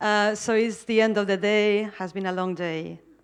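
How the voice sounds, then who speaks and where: Against a quiet background, a woman with a strong Spanish accent speaks at a moderate pace. Her voice sits at a medium pitch with fairly even intonation. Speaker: architecture curator and academic. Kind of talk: conference keynote.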